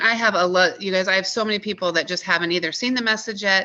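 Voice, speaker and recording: A woman's bright, sharp tone comes through over a quiet background. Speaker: wellness product seller. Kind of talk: team training call. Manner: fast; animated.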